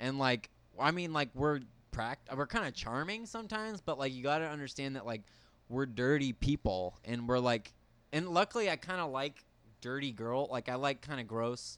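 Recorded very cleanly over a silent background, a man with an unremarkable speaking voice talks at a moderate pace and medium pitch with lively intonation. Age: 20s. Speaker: guest. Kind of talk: casual chat.

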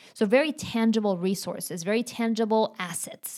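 The speaker talks at a moderate pace with a Spanish accent. The recording is very clean, with a silent background. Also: woman. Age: 40s. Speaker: astrology coach. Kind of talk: casual interview chat.

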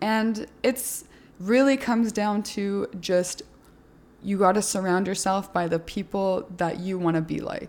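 At a fairly slow pace, the speaker uses an ordinary speaking voice. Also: woman, medium pitch for a woman, ordinary pitch variation. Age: 20s. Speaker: fitness podcast host and influencer. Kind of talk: podcast interview.

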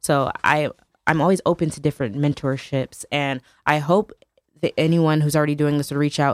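The speech has an American accent, a fairly quick pace and fairly even intonation. The sound is dry and close, with no echo. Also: woman, very deep, low pitch for a woman. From US Northeast, New Haven, Connecticut. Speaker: nonprofit founder. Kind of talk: radio interview.

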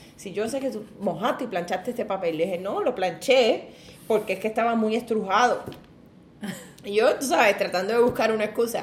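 A woman with a Puerto Rican accent speaks at a fairly quick pace in a fairly high voice, her pitch varying in an ordinary way over noticeable background noise. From Puerto Rico, Ponce. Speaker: seamstress. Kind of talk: casual chat.

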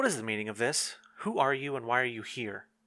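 A man's gruff, put-on character voice at a medium pitch, very fast, with ordinary pitch variation. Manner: imperious, indignant.

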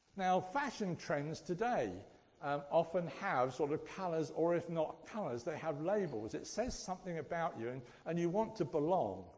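This man's voice is high-pitched, with lively intonation. His pace is moderate. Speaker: church speaker. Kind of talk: sermon. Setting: church. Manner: jokey, self-deprecating.

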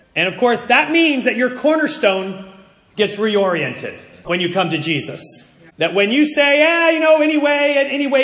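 With an American accent, a man talks in very wide pitch swings amid noticeable background noise and audible room echo. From US Northeast. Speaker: pastor. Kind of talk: sermon. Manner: animated.

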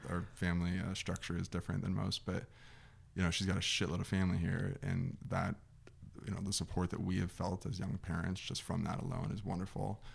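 Using a General American accent, a man speaks at a fairly quick pace in a very deep, low pitch with vocal fry. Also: ordinary pitch variation. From Arizona, Scottsdale. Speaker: former football player. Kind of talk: casual chat.

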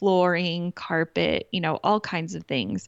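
Speaking at a fairly low pitch, a woman talks in an American accent. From Kansas. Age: 40s. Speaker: interior designer. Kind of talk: interview.

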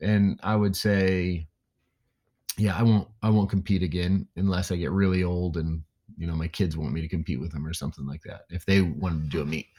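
Recorded very cleanly against a silent background, a man with an American accent speaks at a fairly quick pace in a very deep, low pitch, with ordinary pitch variation and a dry, close sound with no echo. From Indiana, US Midwest. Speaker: weightlifting coach. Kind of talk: casual interview conversation.

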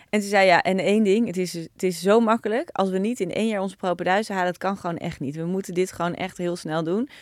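Over a silent background in a very clean recording, a woman talks at a very fast pace with fairly even intonation. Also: medium pitch for a woman, hardly any pauses. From Netherlands, Naarden. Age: 40s. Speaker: entrepreneur, company founder. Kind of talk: interview, casual conversation.

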